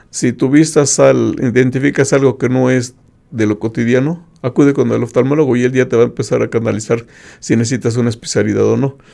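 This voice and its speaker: Against a quiet background, a man with vocal fry and a dark, mellow tone speaks at a fairly quick pace with fairly even intonation. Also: medium pitch for a man. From Mexico. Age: 50s. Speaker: retired IT professional with visual impairment; interview guest, host's father. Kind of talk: interview testimony. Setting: radio studio. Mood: calm, reflective. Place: studio. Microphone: studio mic.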